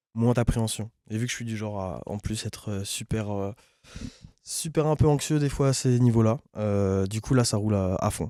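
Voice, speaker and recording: A man's dark, mellow voice at medium pitch, with moderate pace and ordinary pitch variation, dry and close with no echo, on a very clean recording with a silent background. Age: 20s. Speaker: rapper. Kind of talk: casual interview. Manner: hesitant, many fillers.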